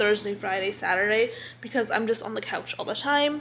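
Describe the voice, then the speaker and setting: Fairly high-pitched woman at a fairly quick pace, ordinary pitch variation, noticeable background noise. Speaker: lifestyle vlogger. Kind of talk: casual vlog monologue. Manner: halting, stumbles over words.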